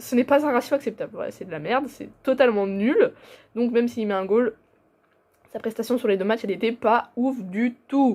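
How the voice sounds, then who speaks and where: Against a very clean recording with a silent background, a woman speaks with a fairly high pitch, a dark, mellow tone and ordinary pitch variation. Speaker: football YouTuber. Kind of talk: casual football commentary vlog. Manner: fast; hesitant, many fillers.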